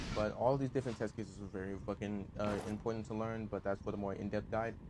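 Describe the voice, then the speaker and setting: At a very fast pace, a man delivers fairly low, flat, monotone speech. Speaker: video game streamer. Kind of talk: gameplay tutorial. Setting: live stream. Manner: halting, stuttering.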